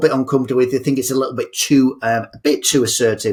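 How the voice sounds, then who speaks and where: A man with an English accent, at a medium pitch. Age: 60s. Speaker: motivational speaker. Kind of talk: podcast interview. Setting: podcast.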